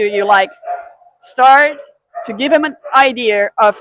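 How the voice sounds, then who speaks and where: A woman with a German accent talks at a very slow pace. Her pitch variation is ordinary. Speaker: dog trainer. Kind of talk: casual talk to camera.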